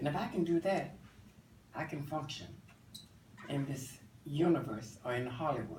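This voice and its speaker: Long, frequent pauses in an American accent, with audible room echo. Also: man, fairly high pitch for a man, ordinary pitch variation, moderate pace. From Virginia. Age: 70s. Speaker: cosmetologist and assistant minister. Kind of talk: interview.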